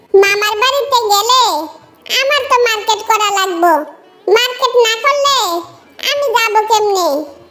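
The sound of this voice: A woman puts on a cartoonish character voice that is squeaky and extremely high-pitched, speaking at a fairly slow pace. Audible echo surrounds her. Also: ordinary pitch variation, very even loudness.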